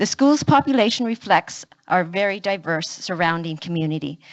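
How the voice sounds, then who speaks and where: A woman's medium-pitched voice, an ordinary speaking voice with lively intonation, at a moderate pace. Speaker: parent delegate at school board meeting. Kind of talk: prepared public statement. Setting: public meeting.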